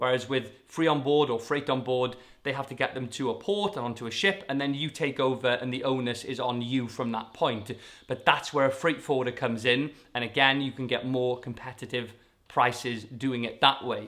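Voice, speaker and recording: He speaks with a Welsh accent at a medium pitch for a man. His pitch varies in an ordinary way. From Wales. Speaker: YouTuber. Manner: fast talker.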